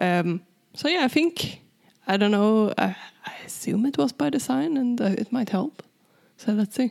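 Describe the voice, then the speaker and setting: In a Swedish accent, the speaker keeps a very even loudness and lively intonation, with long, frequent pauses. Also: woman, fairly high pitch for a woman, moderate pace. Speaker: tech podcast co-host. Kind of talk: casual chat.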